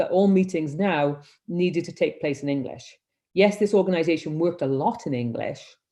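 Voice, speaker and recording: This voice has a Welsh accent, a dark, mellow tone and lively intonation. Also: woman. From Wales. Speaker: humanitarian leadership consultant. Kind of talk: webinar presentation. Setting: video call.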